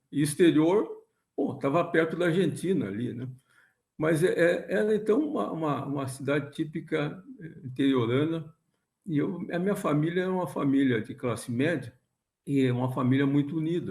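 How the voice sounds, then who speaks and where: Somewhat breathy, a man speaks at a moderate pace in a fairly high pitch with ordinary pitch variation. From southern Brazil, Rio Grande do Sul (São Borja, Porto Alegre). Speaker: physics professor. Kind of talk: interview. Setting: video call. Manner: halting.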